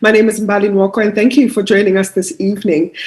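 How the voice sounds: A woman at a fast pace, with little pitch movement, a slightly husky edge and a slightly mellow tone. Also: medium pitch for a woman.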